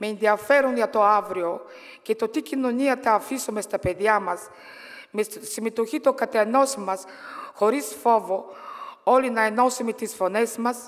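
In a Bulgarian accent, a woman speaks at a fairly slow pace with ordinary pitch variation and long, frequent pauses. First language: Bulgarian (speaking Greek). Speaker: politician and trade unionist; politician. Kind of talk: political speech. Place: hall. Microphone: podium.

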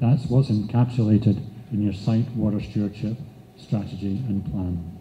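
Over light background noise, a man speaks at a moderate pace, his tone dark and mellow, somewhat breathy, with ordinary pitch variation. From Scotland. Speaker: nonprofit chief executive; conference presenter. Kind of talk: conference presentation. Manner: halting, with fillers. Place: hall.

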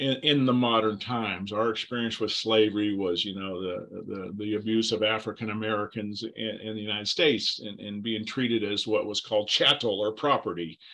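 A man talks at a fairly quick pace with hardly any pauses, his fairly low voice bright and sharp in tone with fairly even intonation. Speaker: Bible teacher. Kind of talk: lecture. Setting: video call. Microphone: video call.

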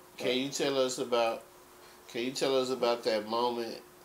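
The delivery is fairly slow, with a monotone, flat intonation. Light background noise can be heard. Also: man. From Texas. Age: 30s. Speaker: interview host. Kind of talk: interview. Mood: calm, curious. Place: home room.

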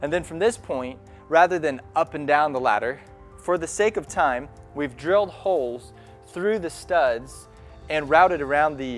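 Faint music plays behind a man who speaks at a moderate pace with ordinary pitch variation. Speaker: electrician instructor. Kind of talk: tutorial.

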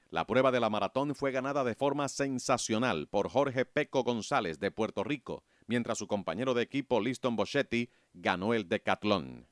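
On a very clean recording with a silent background and a dry, close sound with no echo, a man uses a normal speaking voice at medium pitch, moderate pace and ordinary pitch variation. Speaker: documentary narrator. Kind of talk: sports documentary narration, scripted and read aloud. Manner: measured, formal, steady pace; informative, even-toned, briskly listing results.

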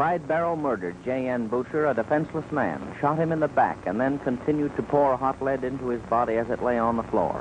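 A man's medium-pitched voice at a fairly quick pace with hardly any pauses and ordinary pitch variation, over noticeable background noise. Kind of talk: newsreel narration.

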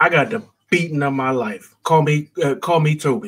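A man with an American accent and a fairly high pitch speaks at a moderate pace. His pitch varies in an ordinary way over a quiet background. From United States. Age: 40s. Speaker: caller. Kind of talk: casual chat. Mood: relaxed, joking at times. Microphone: video call.

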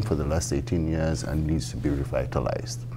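Music sits in the background. Over it, a man is speaking. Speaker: city council candidate. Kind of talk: interview answer. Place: studio. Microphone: lapel.

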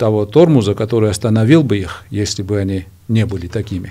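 A man's fairly low, dark and mellow voice with a Georgian accent. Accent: Georgian accent in Russian. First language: Georgian (speaking Russian). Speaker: political analyst. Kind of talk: TV interview. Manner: halting, many fillers. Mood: serious political discussion. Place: studio. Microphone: studio mic.

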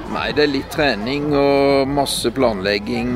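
A man's very slow speech in a dry sound with no echo, set against clear music in the background. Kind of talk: interview answer. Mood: cheerful, relaxed. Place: street.

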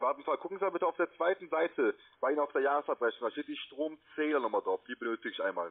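Someone speaks at a very fast pace against a quiet background. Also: man. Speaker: telemarketer. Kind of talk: sales pitch. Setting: phone call. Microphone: phone line.

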